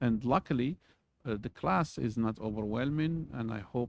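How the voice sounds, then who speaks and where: The speaker has a non-native accent and a moderate pace. The sound is dry and close, with no echo. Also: man. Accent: foreign. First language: not English. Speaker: university lecturer. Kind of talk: lecture. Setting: recorded video for students. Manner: halting, many fillers.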